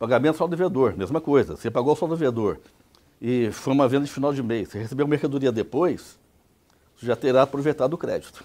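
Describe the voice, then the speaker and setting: Very fast and dark, mellow in tone, a man's fairly high voice carries ordinary pitch variation. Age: 60s. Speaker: tax expert lecturer. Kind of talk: lecture. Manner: conversational, rhetorical questions.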